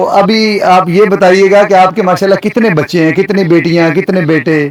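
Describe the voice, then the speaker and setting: High pitch from a man, with ordinary variation in that pitch. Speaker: interviewer, show host. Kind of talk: interview questions.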